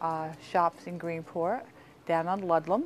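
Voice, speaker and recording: In a Long Island accent, a woman with a fairly low pitch speaks at a moderate pace with fairly even intonation. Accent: Long Island New York. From US Northeast, Long Island, New York. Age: 60s. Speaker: local resident recounting family history. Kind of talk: interview reminiscence. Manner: casual, with many fillers.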